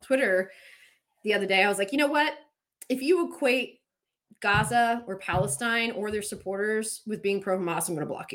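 With an American accent, a woman speaks fairly quickly in a normal speaking voice at a medium pitch. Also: very clean recording, silent background. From Pennsylvania Dutch country, US. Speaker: podcast host and whistleblower. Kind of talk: casual political chat.

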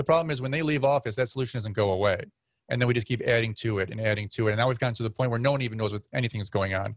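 A somewhat breathy, medium-pitched man with an American accent, talking at a very fast pace with ordinary pitch variation in a very clean recording against a silent background. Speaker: podcaster. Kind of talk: casual chat.

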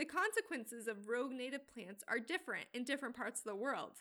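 Delivered in a raised, projected voice, the speech races at a very fast pace with lively intonation and a bright, sharp tone. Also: woman. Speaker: podcast host. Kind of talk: scripted narration.

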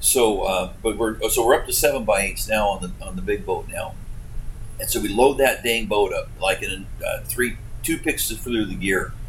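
A man speaks at a moderate pace with an Alaskan accent. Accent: Alaskan American. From Alaska (Homer). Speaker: commercial fishing captain. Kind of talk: casual interview storytelling.

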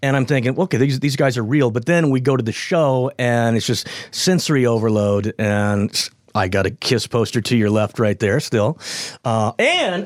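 A man speaks in an ordinary speaking voice at a moderate pace, with a medium pitch, ordinary pitch variation and very even loudness. The recording is very clean with a silent background. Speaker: radio host. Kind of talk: casual chat.

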